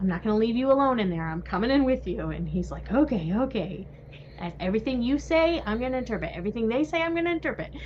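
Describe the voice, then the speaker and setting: Over noticeable background noise, a woman talks at a very fast pace. Her fairly high voice swings very widely in pitch. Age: 40s. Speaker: sign language interpreter. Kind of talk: casual chat.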